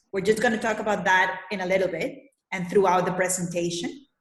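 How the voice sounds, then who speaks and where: A somewhat breathy woman talks in a Spanish accent. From Colombia. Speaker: leadership coach. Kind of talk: presentation. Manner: hesitant, many fillers.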